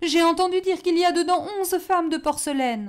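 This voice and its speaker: A woman's put-on character voice, extremely high and tearful, with ordinary pitch variation at a fairly quick pace, on a very clean recording with a silent background. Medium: read story. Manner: fearful, tearful.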